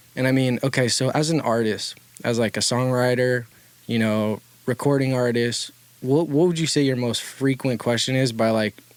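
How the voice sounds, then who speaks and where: A man with an American accent speaks at a medium pitch and a very even loudness, his intonation fairly even. Noticeable background noise runs under the recording. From Louisiana, US South. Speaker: recording artist and podcast co-host. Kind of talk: casual podcast chat.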